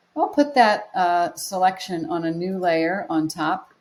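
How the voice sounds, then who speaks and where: This is a woman with an ordinary speaking voice. She talks at a fairly slow pace with lively intonation. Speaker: photography teacher. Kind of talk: tutorial.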